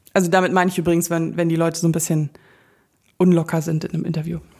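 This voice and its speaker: A woman's fairly low voice, animated in tone and very fast in pace. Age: 30s. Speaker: podcast host. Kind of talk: casual monologue.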